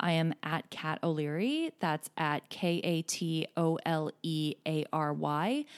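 There is no echo, and the sound is dry and close on a very clean recording with a silent background. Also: woman. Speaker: podcast host. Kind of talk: solo podcast monologue. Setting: home recording alone. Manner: upbeat.

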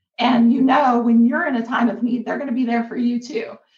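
With a Kentucky accent, a woman speaks at a high pitch. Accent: Kentucky American. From rural northern Kentucky. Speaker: business co-owner and co-host. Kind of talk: interview storytelling.

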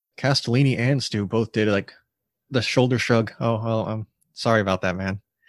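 Recorded dry and close with no echo, a man speaks at a moderate pace. He has a plain, everyday voice at medium pitch. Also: quiet background. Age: 20s. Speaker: podcast co-host. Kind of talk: casual chat.

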